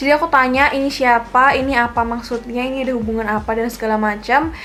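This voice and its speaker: Over noticeable background noise, a woman speaks loudly at a high pitch and a fairly quick pace with fairly even intonation. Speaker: beauty vlogger. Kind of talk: casual vlog talk to camera. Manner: loud laugh.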